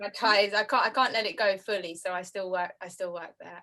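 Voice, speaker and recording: This woman has a bright, sharp tone, a medium pitch, ordinary pitch variation and a moderate pace. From northwest London, England. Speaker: librarian. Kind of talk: casual chat.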